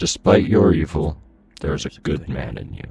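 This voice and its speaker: A man does a put-on character voice at a moderate pace, with faint music in the background. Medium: audio drama. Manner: strong, firm, solemn.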